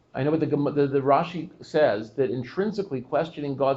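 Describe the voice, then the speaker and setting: A man's normal speaking voice, fairly high-pitched, at a fairly quick pace with ordinary pitch variation. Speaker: rabbi giving a class. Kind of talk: Torah class discussion with audience questions.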